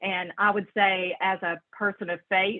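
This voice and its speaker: A woman speaks with a strong Southern US accent. Her pitch sits in the medium range. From western North Carolina mountains, Brevard. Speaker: social worker in health insurance. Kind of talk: interview. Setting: video call.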